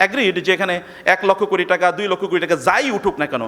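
A man speaks in a raised, projected voice. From Bangladesh, Chandpur. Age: 50s. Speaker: Islamic preacher and professor. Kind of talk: lecture. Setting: university hall with audience.

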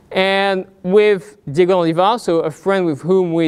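This man's voice sits high in pitch. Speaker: invited lecturer. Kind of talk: lecture. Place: hall. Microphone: lapel.

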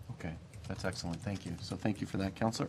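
A man speaks at a medium pitch. Vocal fry runs through his voice.

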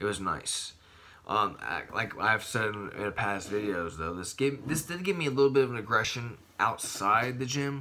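Over light background noise, a man speaks at a moderate pace with lively intonation and a bright, sharp tone. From Maryland, US. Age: 20s. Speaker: bodybuilding vlogger; supplement reviewer. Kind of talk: casual vlog monologue; casual vlog chat. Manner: animated. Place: home room. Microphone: phone near.

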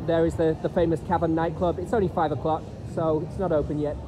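Noticeable background noise under a very fast pace of talking. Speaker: tour guide vlogger. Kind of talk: commentary. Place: street. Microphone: phone near.

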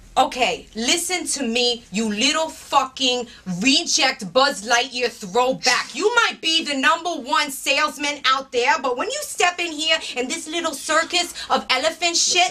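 In a raised, projected voice, a woman speaks at a fairly slow pace with lively intonation. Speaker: actress playing a warehouse manager. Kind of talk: scripted dramatic dialogue, angry rant. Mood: furious, exasperated.

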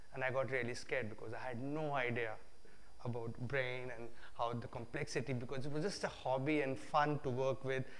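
Fairly level intonation from a man speaking at a moderate speed. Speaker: guest lecturer. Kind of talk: lecture. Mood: relaxed, humorous storytelling. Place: hall.

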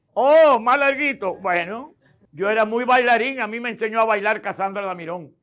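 A man speaks at a high pitch and a moderate pace. His pitch variation is ordinary. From Dominican Republic. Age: 70s. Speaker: political activist; interview guest. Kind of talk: interview. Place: studio. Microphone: lapel.

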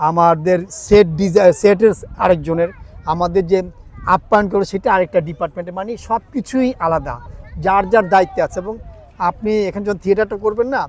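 Noticeable background noise surrounds a man whose voice has a high pitch. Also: ordinary pitch variation. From Bangladesh, Chittagong. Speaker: stage actor. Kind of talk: interview.

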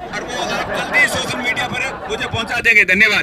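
A man speaks at a fairly quick pace with an extremely high pitch, a bright, sharp tone and fairly even intonation, while faint crowd noise sits in the background.

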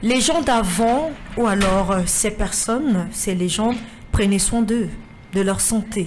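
A woman's medium-pitched voice at a slow pace, with ordinary pitch variation and audible room echo.

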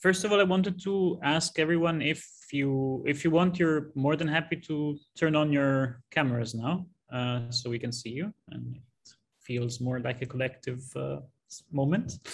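A man's somewhat breathy voice moves at a medium tempo, its pitch varying normally. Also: fairly high pitch for a man. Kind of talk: moderating a webinar. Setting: video call. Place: home room. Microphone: video call.

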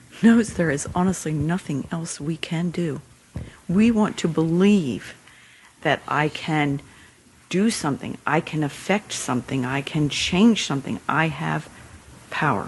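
A woman speaks at a fairly slow pace in a somewhat breathy, very deep, low voice with lively intonation. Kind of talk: spiritual teaching conversation.

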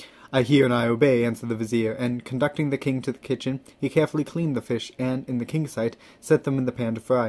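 The clip presents an unforced reading voice.

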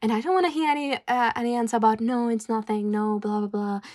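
Nervous in tone, a woman speaks at a moderate pace and a fairly high pitch with ordinary variation, in a very clean recording with a silent background. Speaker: ASMR roleplay performer voicing a tomboy best friend. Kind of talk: ASMR roleplay comfort, a gentle scripted-sounding friend soothing a depressed listener. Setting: close-mic ASMR recording, addressing the listener directly. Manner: soft, caring and reassuring, with hesitant, stumbling pauses and nervous laughs; warm and coaxing, repeating 'come on' and 'tell me' in an encouraging tone.

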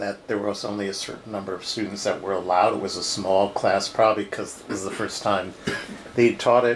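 In a plain, everyday voice, a man speaks at a moderate pace with fairly low pitch, ordinary pitch variation, big swings in loudness, and light background noise. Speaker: interviewer. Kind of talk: interview questions. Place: office. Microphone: lapel.

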